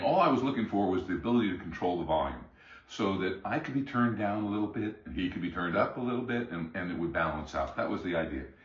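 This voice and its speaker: Talking at a very fast pace with lively intonation, a man with a fairly low pitch is heard amid audible room echo and noticeable background noise. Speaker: music hobbyist reviewing gear. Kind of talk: product review. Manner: halting, many fillers and repeats.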